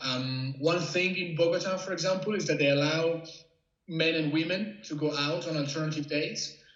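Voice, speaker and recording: A man's fairly high-pitched voice at a moderate pace, with fairly even intonation and audible room echo. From Italy. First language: Italian. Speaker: freelance journalist. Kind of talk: interview. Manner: halting.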